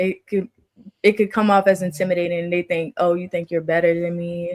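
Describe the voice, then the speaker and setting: At a moderate pace, a woman speaks with medium pitch and monotone, flat intonation, in a dry, close sound with no echo. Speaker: podcast co-host. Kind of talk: casual chat. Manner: soft-spoken.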